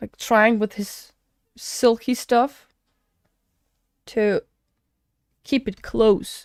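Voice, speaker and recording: Someone with a non-native accent talks at a very slow pace, with ordinary pitch variation. The sound is dry and close with no echo, on a very clean recording with a silent background. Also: woman. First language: not English. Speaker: gaming streamer. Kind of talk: live reaction commentary. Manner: halting, many fillers and restarts.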